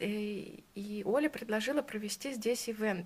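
Somewhat breathy and fairly high-pitched, a woman speaks at a fairly slow pace with ordinary pitch variation. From Russia, St Petersburg. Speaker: podcast host, tattoo artist. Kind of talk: casual interview.

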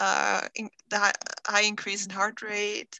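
With a non-native accent, a woman speaks at a fairly slow pace in a fairly high, bright, sharp voice. The background is quiet. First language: not English. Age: 20s. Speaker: guest with chronic illness, social worker. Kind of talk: casual interview chat. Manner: hesitant, many fillers.

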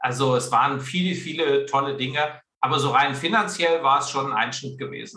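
A man speaks at a fairly high pitch and a moderate pace. His tone is bright and sharp, with ordinary pitch variation. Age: 40s. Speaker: career and sales coach, author. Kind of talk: interview. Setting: video call.

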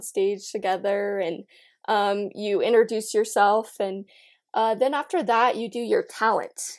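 Recorded very cleanly with a silent background, a woman speaks at a moderate pace in a fairly high pitch, an unremarkable speaking voice. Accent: American. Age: young. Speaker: beauty pageant titleholder and college student. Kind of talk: casual chat.

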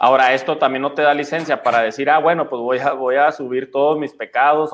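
A man's fairly high-pitched, plain, everyday voice at a fairly quick pace with fairly even intonation. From Chihuahua, Mexico. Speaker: pastor. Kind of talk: casual chat.

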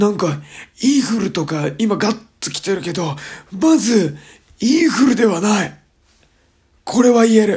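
A man with a high voice speaks in very wide pitch swings, leaving long, frequent pauses. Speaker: radio host. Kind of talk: casual solo talk. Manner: rough, blunt slang; casual, rambling.

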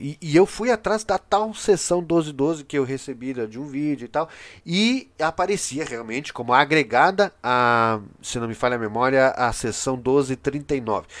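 Lively in intonation, a man with a fairly high pitch speaks at a fairly slow pace over a quiet background. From Brazil. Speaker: podcast/video host, political commentator. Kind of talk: solo commentary monologue. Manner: halting, many filler hesitations.

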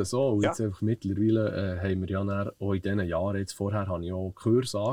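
This man's voice sits fairly low and has a dark, mellow tone. The sound is dry and close, with no echo. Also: quiet background. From Switzerland, Bern region. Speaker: stuntman and stunt coordinator. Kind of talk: interview. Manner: hesitant, many fillers.

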